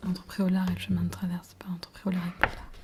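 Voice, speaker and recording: Soft-spoken words are heard against noticeable background noise. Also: woman. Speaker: ASMR creator. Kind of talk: ASMR roleplay as shop seller. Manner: hesitant, many fillers.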